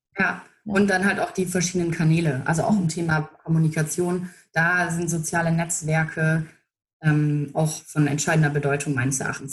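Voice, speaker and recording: A woman speaks at a moderate pace in a fairly low voice. Her delivery is somewhat breathy. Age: 30s. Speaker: political press spokesperson. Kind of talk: interview.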